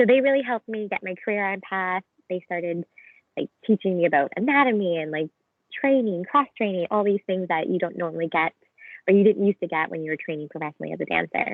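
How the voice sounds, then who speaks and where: With a Canadian accent, a woman talks very fast at a medium pitch, her intonation lively. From Canada. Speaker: physiotherapy student, former professional dancer. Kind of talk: casual chat. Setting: video call.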